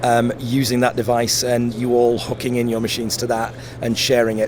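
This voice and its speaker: Noticeable background noise fills the clip. A man talks over it. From Yorkshire and South Africa, then Sheffield. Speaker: tech company representative. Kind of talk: trade show interview.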